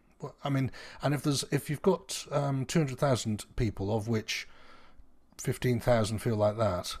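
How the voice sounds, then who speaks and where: The voice is somewhat breathy, with lively intonation. The recording is very clean, with a silent background. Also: man. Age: 50s. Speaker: podcast host. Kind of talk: casual chat.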